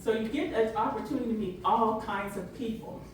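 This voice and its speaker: Over noticeable background noise and audible room echo, a woman speaks at a fairly slow pace in an animated tone, her fairly high pitch showing ordinary variation. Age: 60s. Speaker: storyteller, grocery cashier. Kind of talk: comedic storytelling to small audience.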